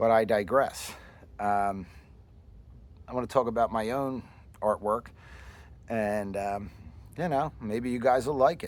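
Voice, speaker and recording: With long, frequent pauses, a man speaks at a fairly slow pace and a medium pitch. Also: ordinary pitch variation. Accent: Philadelphia. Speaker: woodcarver and artist. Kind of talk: casual explanation of own artwork.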